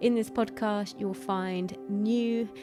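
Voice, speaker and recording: Music plays in the background. Over it, a woman talks at a fairly slow pace. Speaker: pole dance teacher and yoga instructor. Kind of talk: podcast intro.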